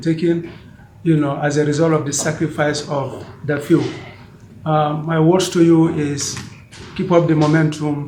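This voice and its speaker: Amid noticeable background noise and audible room echo, a man talks at a fairly slow pace in a fairly high pitch with monotone, flat intonation. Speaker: member of an organization. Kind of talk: meeting speech. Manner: loud.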